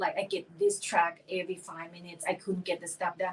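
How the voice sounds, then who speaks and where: A woman at a medium pitch with a non-native accent, fairly quick pace and noticeable background noise. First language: not English. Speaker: esthetician and spa owner. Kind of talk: podcast interview.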